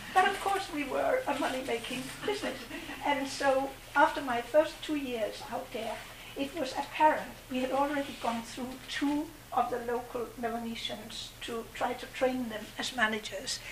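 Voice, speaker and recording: A woman at high pitch and moderate pace, with ordinary pitch variation and noticeable background noise. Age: 70s. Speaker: former overseas development volunteer, furniture maker. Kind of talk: personal storytelling to a live audience. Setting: community event with audience. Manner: halting.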